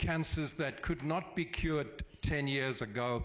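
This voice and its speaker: Here is an unremarkable speaking voice: a man at medium pitch, fairly slow pace and ordinary pitch variation. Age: 60s. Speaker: charity event organizer. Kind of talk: public meeting address.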